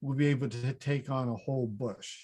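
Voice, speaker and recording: Against a quiet background, a man speaks at a fairly high pitch. His voice is somewhat breathy and his pace fairly quick. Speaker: fruit breeding researcher, professor. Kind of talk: conference presentation. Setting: online conference session.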